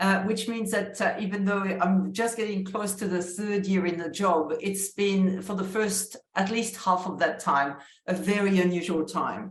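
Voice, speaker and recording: A woman with a French accent at a fairly slow pace, with fairly even intonation, hardly any pauses and audible room echo. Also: medium pitch for a woman. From France. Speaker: university vice-chancellor. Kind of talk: interview conversation.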